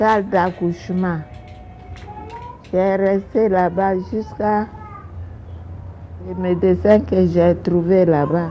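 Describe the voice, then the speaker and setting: Very slow and broken by long, frequent pauses, a woman's medium-pitched voice holds a very even loudness and fairly even intonation over noticeable background noise. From Ivory Coast, Grand-Lahou region. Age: 80s+. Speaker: retired nurse and midwife. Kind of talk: interview testimony. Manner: halting.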